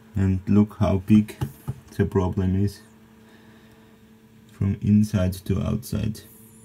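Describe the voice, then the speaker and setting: Fairly low-pitched man's voice at a very slow pace. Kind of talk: casual vlog chat. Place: boat. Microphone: phone near.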